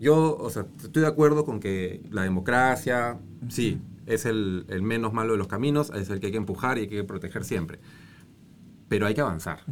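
A man with an unremarkable speaking voice talks at a moderate pace, his fairly low pitch carried by lively intonation. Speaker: former congressman and environmental NGO director. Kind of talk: casual interview chat.

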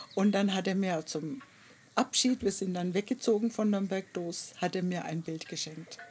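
Speaking at a moderate pace, a woman has a plain, everyday voice with medium pitch and ordinary pitch variation. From Germany, Nuremberg area. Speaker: artist. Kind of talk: interview. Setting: outdoors in a garden.

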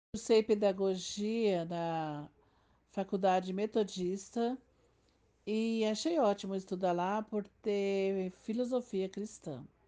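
Very slow speech from a woman at a medium pitch, with a dark, mellow tone and ordinary pitch variation. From Piauí, Brazil. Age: 50s. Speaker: teacher. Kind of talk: interview answers.

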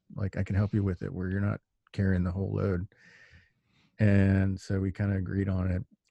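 With an American accent, a man speaks in a very deep, low, dark and mellow voice with monotone, flat intonation, at a fairly quick pace broken by long, frequent pauses, in a dry, close recording with no echo and a quiet background. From Texas. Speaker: podcast host. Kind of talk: casual chat. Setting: remote call.

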